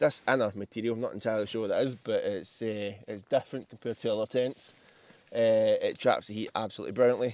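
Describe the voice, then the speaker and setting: The speaker is a man with a Scottish accent. He talks at a fairly quick pace. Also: dry, close sound with no echo. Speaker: camper. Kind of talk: casual gear walkthrough. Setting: inside a tent outdoors. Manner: loud.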